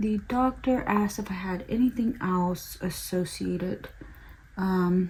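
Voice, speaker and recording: Speaking very slowly with an American accent, a woman has a dark, mellow, somewhat breathy tone at a medium pitch with ordinary pitch variation. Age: 20s. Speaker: beauty vlogger. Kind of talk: casual chat.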